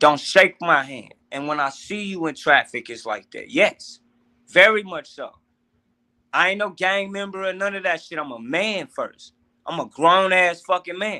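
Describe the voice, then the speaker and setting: American-accented man with a raised, projected voice, high pitch, bright, sharp tone, lively intonation, big swings in loudness and a moderate pace. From US Midwest, St. Louis, Missouri. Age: 30s. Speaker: podcast guest. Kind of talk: casual chat. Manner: animated.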